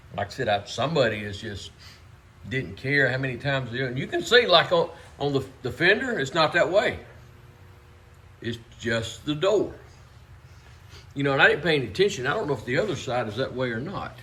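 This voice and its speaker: Here a man speaks at a medium pitch with very wide pitch swings. Long, frequent pauses break up his speech. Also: fairly quick pace. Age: 60s. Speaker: car restorer. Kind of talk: casual shop talk for video. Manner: halting, many fillers.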